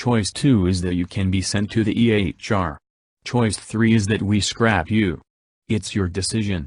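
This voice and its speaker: A growling, put-on character voice moves at a moderate pace. The background is quiet. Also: man, fairly low pitch for a man. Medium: read story. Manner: calm, matter-of-fact.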